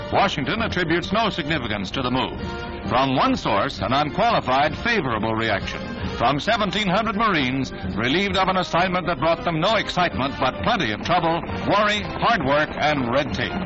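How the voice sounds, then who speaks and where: With music in the background, a man speaks at a fairly high pitch, his loudness very even while his pitch swings very widely. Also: fairly quick pace. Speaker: newsreel narrator. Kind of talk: newsreel narration.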